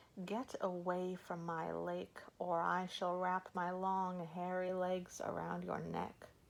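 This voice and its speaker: Putting on a character voice, a female-sounding speaker talks at a fairly slow pace with hardly any pauses, at a medium pitch, with hissing in the sound. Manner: menacing, threatening.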